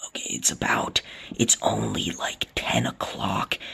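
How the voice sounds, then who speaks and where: Noticeable background noise sits under the recording. A man speaks at a fairly slow pace. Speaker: vlogger. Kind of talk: casual vlog. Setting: inside a small fort at night. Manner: loud.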